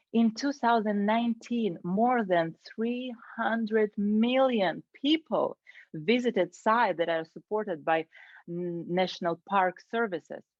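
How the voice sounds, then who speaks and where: A woman speaks at a fairly slow pace with a Ukrainian accent, her fairly high pitch showing ordinary variation. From Ukraine. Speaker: Toastmasters club member. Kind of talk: prepared speech.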